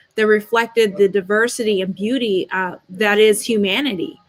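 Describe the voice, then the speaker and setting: An unremarkable speaking voice from a woman, fairly high in pitch, at a moderate pace with ordinary pitch variation. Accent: American. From United States, Nigerian family. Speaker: panel guest, official. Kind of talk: panel discussion.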